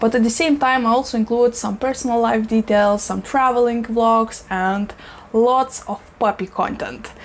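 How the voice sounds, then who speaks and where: Amid noticeable background noise, a woman speaks at a moderate pace in a fairly high pitch. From Eastern Europe. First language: not English. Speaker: plant YouTuber. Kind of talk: casual vlog talk. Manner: animated.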